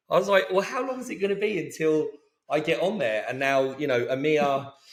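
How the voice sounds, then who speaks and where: A man speaks with an American accent at a fairly quick pace. His high voice has lively intonation. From England, Luton (north of London). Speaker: company co-founder. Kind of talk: interview podcast.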